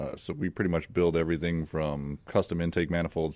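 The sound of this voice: In a very clean recording with a silent background, a man with an American accent speaks at an extremely low pitch, his tone slightly mellow and his pitch barely moving.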